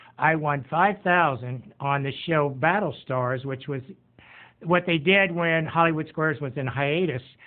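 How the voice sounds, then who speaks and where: This man has a normal speaking voice with a fairly high pitch, ordinary pitch variation, and a fairly slow pace. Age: 60s. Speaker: retired podcast host. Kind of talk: casual self-introduction, game show audition pitch.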